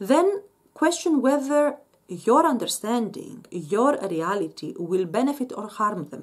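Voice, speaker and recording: A woman with a Greek accent uses a fairly high pitch, very wide pitch swings and big swings in loudness. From Greece. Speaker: Islamic commentator. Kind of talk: monologue answering a viewer question. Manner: halting, with many repeated words; animated.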